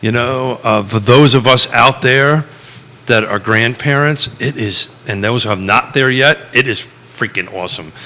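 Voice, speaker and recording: Here a man has an unremarkable speaking voice, talking at a fairly slow pace and medium pitch with ordinary pitch variation. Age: 60s. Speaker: radio show host. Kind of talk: casual chat.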